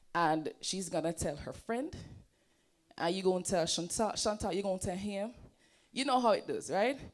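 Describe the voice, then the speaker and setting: With a Jamaican accent, a woman at medium pitch speaks at a moderate pace in an animated tone with lively intonation and long, frequent pauses, on a very clean recording with a silent background. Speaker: presenter and entrepreneur. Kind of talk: seminar presentation. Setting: stage with audience.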